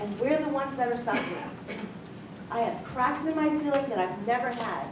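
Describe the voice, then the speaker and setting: Lively intonation from a woman with an American accent, amid noticeable background noise and audible room echo. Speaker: resident speaking at town meeting. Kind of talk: public comment. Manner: fast; agitated.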